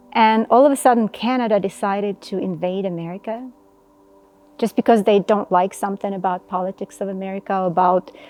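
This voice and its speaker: Fairly even intonation in a dry, close sound with no echo, with music in the background. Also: woman. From Ukraine. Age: 40s. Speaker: financial advisor and volunteer. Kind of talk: interview testimony.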